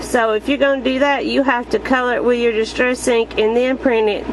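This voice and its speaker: A woman's fairly high voice with fairly even intonation, amid noticeable background noise. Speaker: card-making crafter. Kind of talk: crafting tutorial / show-and-tell. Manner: casual, hesitant with fillers.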